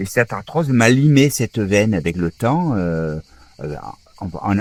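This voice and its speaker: A man's pitch sits fairly low, with lively intonation. He keeps a fairly slow pace. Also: dry, close sound with no echo. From southern France, Toulon area. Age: 60s. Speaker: former rugby player, wheelchair user. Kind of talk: interview testimony. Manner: hesitant, many fillers.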